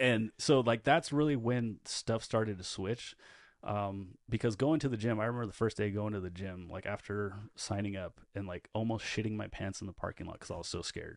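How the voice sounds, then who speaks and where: A man speaks at a fairly quick pace in a fairly low pitch with ordinary pitch variation. The recording is very clean, with a silent background. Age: 30s. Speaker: podcast co-host and producer. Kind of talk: casual interview chat. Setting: studio. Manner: animated.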